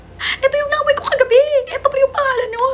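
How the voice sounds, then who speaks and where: Amid noticeable background noise, a woman speaks at a very fast pace in an animated tone. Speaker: vlogger. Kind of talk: casual unboxing vlog. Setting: at home.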